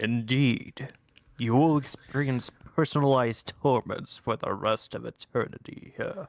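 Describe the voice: A put-on character voice comes from a man. The pitch is medium. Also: moderate pace.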